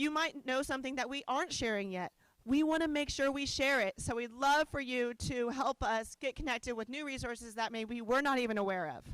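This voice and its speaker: A loud woman speaks at a fairly quick pace in a high voice with ordinary pitch variation, the sound dry and close with no echo. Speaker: organization director. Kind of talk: conference presentation. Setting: conference hall with audience.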